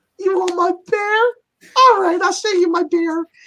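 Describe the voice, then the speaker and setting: In a squeaky, put-on character voice, a man talks at a moderate pace and an extremely high pitch. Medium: actual play. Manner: warm, upbeat.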